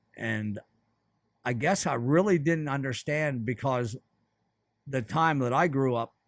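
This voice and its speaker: The sound is dry and close with no echo as a man at a medium pitch talks fairly slowly with ordinary pitch variation and long, frequent pauses. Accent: American. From central Pennsylvania. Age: 60s. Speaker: fly shop owner. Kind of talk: casual chat.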